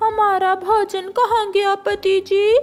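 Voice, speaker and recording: A female-sounding cartoonish character voice is pitched extremely high. Its intonation is monotone and flat. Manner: dramatic.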